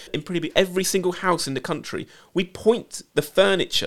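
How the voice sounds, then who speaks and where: On a very clean recording with a silent background, a man talks in a British accent. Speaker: TV production company boss. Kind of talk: casual interview chat.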